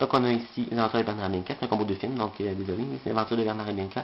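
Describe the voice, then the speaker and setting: Against noticeable background noise, a man speaks very fast at a fairly low pitch with fairly even intonation. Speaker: unboxing video creator. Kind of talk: product unboxing video. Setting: bedroom. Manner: hesitant, many filler sounds.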